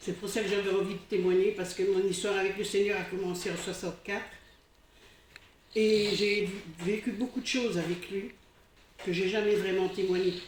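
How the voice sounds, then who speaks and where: At a moderate pace, a woman of medium pitch speaks in a flat monotone with long, frequent pauses. Her voice carries audible room echo over noticeable background noise. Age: 60s. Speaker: church member giving testimony. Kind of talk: testimony. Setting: church congregation. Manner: halting.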